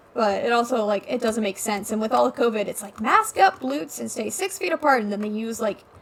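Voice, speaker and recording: Noticeable background noise under a woman's high voice. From Alaska, Ketchikan (moved from Washington at nine). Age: young. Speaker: gamer streamer, college student. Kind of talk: casual gaming commentary rant. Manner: halting, many fillers.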